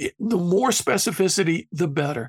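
A man talks at a moderate pace in a very clean recording with a silent background, the sound dry and close with no echo. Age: 70s. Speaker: philosopher and public speaker. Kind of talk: casual chat. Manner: animated.

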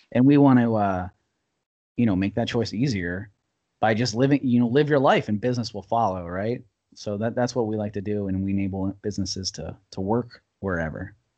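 A man's ordinary speaking voice, fairly low in pitch, with an American accent, ordinary pitch variation and a fairly quick pace. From US, Washington DC suburbs. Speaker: entrepreneur. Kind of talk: casual interview. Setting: video call.

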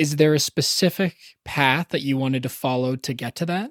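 Recorded very cleanly against a silent background, a man with a Canadian accent speaks in a plain, everyday voice, fairly high in pitch, with a dry, close sound and no echo. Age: 30s. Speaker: podcast host. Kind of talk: scripted narration; interview.

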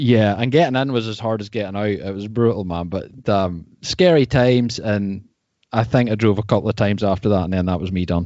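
A man talks at a fairly quick pace. He has a fairly low voice and a Northern Irish accent. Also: ordinary pitch variation. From Northern Ireland, North Coast. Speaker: mountain bike podcast host, surfer. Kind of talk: casual interview chat.

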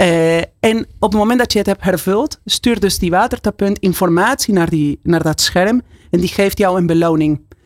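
A woman at a medium pitch, in a dry, close sound with no echo. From Argentina, Buenos Aires. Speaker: company CEO. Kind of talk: radio interview. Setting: studio.

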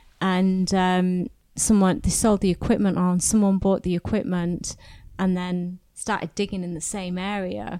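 Speaking at a fairly slow pace with a British accent, a woman's medium-pitched voice has a dark, mellow tone in a very clean recording over a silent background. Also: fairly even intonation. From England. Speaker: podcast host. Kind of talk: interview. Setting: hotel recording venue.

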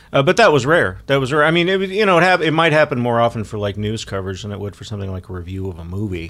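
A man at medium pitch talking at a very fast pace with hardly any pauses, very wide pitch swings and big swings in loudness. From Texas, Dallas. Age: 50s. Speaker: television and film critic. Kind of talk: casual interview chat.

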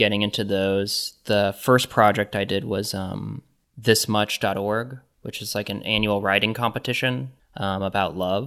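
A man with an American accent talks in a plain, everyday voice, fairly low in pitch and with fairly even intonation. He keeps a moderate pace on a very clean recording with a silent background. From Kansas (Johnson County), US Midwest. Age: 30s. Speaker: artist and curator. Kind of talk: casual interview.

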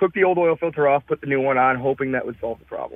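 Pitch varies in an ordinary way in an unremarkable speaking voice. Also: man. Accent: American. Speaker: caller, truck owner. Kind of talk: call-in radio conversation. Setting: phone call.

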